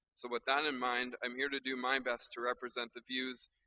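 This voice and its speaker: A man talks loudly at a medium pitch and a fairly quick pace. The sound is dry and close, with no echo. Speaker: nephew giving eulogy. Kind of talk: eulogy. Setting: funeral service with mic.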